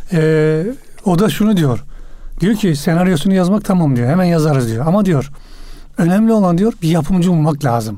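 A man with a high pitch and a dark, mellow tone speaks at a moderate pace with lively intonation, very even loudness, and long, frequent pauses. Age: 50s. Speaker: crime novelist. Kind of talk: radio interview. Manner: halting.

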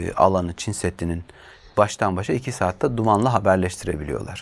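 A very clean recording over a silent background, with ordinary pitch variation. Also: man. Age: 40s. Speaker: journalist. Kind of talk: interview.

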